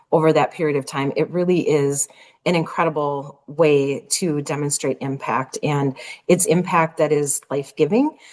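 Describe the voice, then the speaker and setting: A woman with a very deep, low pitch and a slight Minnesota accent speaks at a moderate pace. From Minnesota, US. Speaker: nonprofit executive. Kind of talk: interview.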